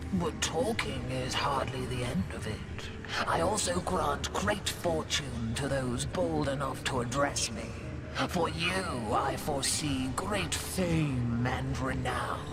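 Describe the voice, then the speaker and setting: Against loud background noise, a cartoonish character voice goes at a fairly slow pace. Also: man. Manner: grandiose, theatrical.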